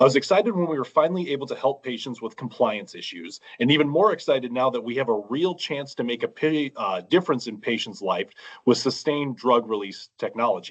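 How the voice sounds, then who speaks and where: Using a plain, everyday voice, a man speaks at a fairly quick pace with a medium pitch and lively intonation. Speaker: eye doctor, glaucoma specialist. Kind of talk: public comment presentation. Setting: online meeting.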